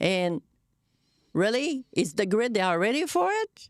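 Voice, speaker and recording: A woman speaks with a French Canadian accent. The recording is very clean with a silent background and a dry, close sound with no echo. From Quebec. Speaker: podcast co-host. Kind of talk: casual chat.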